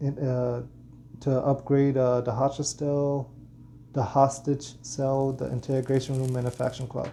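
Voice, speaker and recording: A man speaks at a fairly slow pace in a somewhat breathy voice. His tone is dark and mellow, and his intonation is monotone and flat. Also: medium pitch for a man. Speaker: gaming content creator. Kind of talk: gaming tutorial. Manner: halting, many fillers and repeats.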